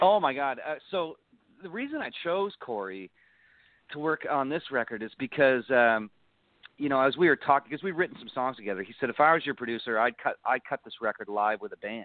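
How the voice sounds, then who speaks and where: With an Ontario accent, a man speaks with lively intonation and big swings in loudness. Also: medium pitch for a man, fairly quick pace. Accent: Canadian (Ontario). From Niagara Falls, Ontario, Canada. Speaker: country singer. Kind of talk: casual interview chat.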